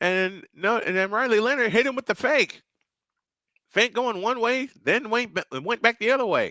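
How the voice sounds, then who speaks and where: A man shouts in a raised, projected voice, excited and energetic, with an extremely high pitch and a bright, sharp tone. He keeps a moderate pace and ordinary pitch variation, in a dry, close sound with no echo. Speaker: sports radio play-by-play announcer. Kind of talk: live sports play-by-play commentary. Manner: excited, energetic.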